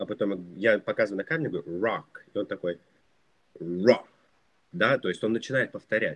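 With lively intonation and a fairly low pitch, a man talks at a fairly quick pace. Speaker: English teacher, YouTuber. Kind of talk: interview.

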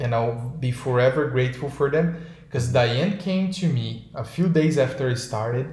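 Over noticeable background noise, a man with a Brazilian accent speaks with hardly any pauses. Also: medium pitch for a man, ordinary pitch variation, moderate pace. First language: Portuguese. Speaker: podcast co-host. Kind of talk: casual chat. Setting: video call. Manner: animated.

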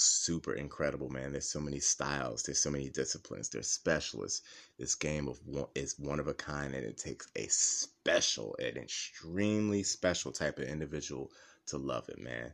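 With vocal fry and a very deep, low pitch, a man talks at a fairly quick pace in an animated tone with lively intonation. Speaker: MMA podcast host. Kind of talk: casual chat. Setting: home recording.

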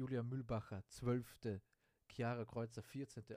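At a fairly slow pace, a man speaks at a medium pitch in a dark, mellow tone. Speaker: sports podcast host. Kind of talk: casual sports commentary monologue. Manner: unscripted, many fillers.

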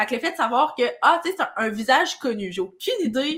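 In a Quebec accent, a woman speaks at a high pitch and fairly quick pace with lively intonation. Her tone is bright and sharp on a very clean recording with a silent background. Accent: Québécois French. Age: 20s. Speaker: podcast co-host, entrepreneur. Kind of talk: casual chat.

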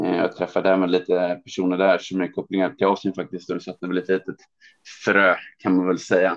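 Very deep, low speech from a man at a fairly quick pace. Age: 30s. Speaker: trade promotion officer. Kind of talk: interview.

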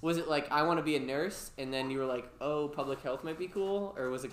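A man at a fairly quick pace, with ordinary pitch variation and noticeable background noise. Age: 20s. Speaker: youth program coordinator and podcast host. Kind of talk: casual chat. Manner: animated.

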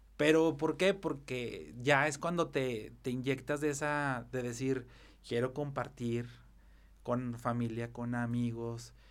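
At a very slow pace, a man talks in a medium pitch with ordinary pitch variation. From Mexico, Zacatecas. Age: 30s. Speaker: event planner. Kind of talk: casual interview chat.

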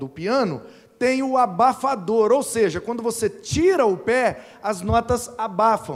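A man's high-pitched voice at a very slow pace. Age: 30s. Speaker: preacher. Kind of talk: sermon.

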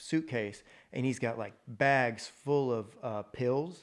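Ordinary pitch variation marks this man's unremarkable speaking voice with an American accent, at a fairly slow pace on a very clean recording with a silent background. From Texas, Mansfield near Fort Worth. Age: 30s. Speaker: roofing contractor. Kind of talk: casual interview chat.

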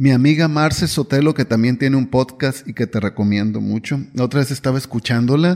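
In an unremarkable speaking voice, a man talks at a fairly quick pace and medium pitch with ordinary pitch variation, very even loudness, and hardly any pauses on a very clean recording with a silent background. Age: 50s. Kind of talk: devotional reflection monologue.

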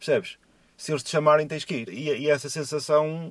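Talking at a fairly quick pace, a man speaks at a fairly high pitch. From Portugal, São João da Madeira. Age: 40s. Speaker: truck driver. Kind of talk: casual chat. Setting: Skype call from a parked car. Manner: halting, repeats words.

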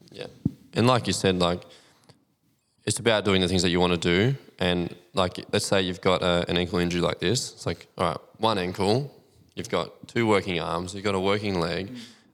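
A man with an Australian accent, a very deep, low pitch, fairly even intonation, and a moderate pace, in a very clean recording with a silent background. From country New South Wales, Australia. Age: 30s. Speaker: physiotherapist. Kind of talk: casual podcast interview.

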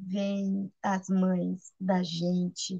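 With a dark, mellow tone and a somewhat breathy quality, a woman speaks at a medium pitch in a monotone, flat intonation, recorded dry and close with no echo. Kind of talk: spiritual sharing.

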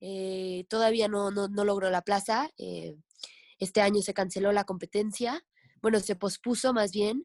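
In a normal speaking voice, a woman talks at medium pitch and a fairly slow pace with fairly even intonation, the sound dry and close with no echo and the background quiet. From Mexico, Veracruz (Tlapacoyan). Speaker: professional kayaker and kayak instructor. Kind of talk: casual interview chat.

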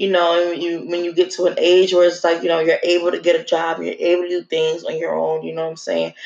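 A woman talks at a very fast pace with a New Jersey accent. She leaves hardly any pauses. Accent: New Jersey urban American English. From North New Jersey. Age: 20s. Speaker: podcast host. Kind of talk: casual monologue.

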